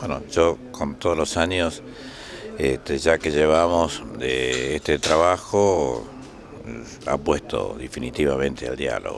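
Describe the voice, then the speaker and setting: Very deep and low, a man's voice moves at a very slow pace with ordinary pitch variation. Noticeable background noise sits behind him. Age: 80s+. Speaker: trade union leader. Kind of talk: interview. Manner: halting.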